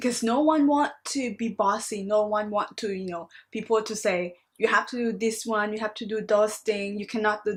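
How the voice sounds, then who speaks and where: A woman speaks with a Thai accent at a fairly high pitch and fairly even intonation. The recording is very clean, and the background is silent. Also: hardly any pauses. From Thailand. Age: 20s. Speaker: master's student. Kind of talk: reflective video monologue.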